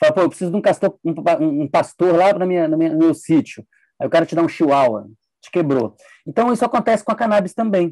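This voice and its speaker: Recorded dry and close with no echo, a man talks with a fairly high pitch and a dark, mellow tone. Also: quiet background. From Brasília, Brazil. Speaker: neuroscientist. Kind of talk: interview conversation.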